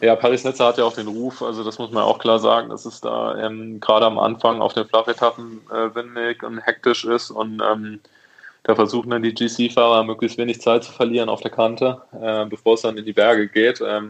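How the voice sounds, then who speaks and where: Speaking at a moderate pace and medium pitch, a man keeps a monotone, flat intonation while his loudness swings widely. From Rhineland, Germany (Neuwied). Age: 20s. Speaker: professional cyclist. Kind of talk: interview.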